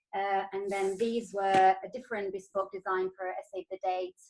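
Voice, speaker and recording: Delivered at a moderate pace, a woman's medium-pitched voice has monotone, flat intonation. The sound is dry and close with no echo. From Italy. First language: Italian. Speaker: wedding stationery designer. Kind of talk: business presentation. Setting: video call. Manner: hesitant, many fillers.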